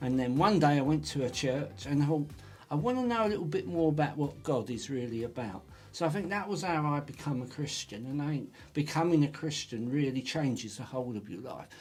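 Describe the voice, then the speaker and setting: Lively intonation marks this man's fairly high voice. He moves at a fairly quick pace and sounds somewhat breathy. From Essex, England. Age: 50s. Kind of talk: casual podcast interview. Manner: talkative.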